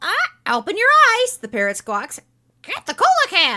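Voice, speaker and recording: A woman uses a put-on character voice at an extremely high pitch. She speaks in a raised, projected voice at a moderate pace. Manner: squawking.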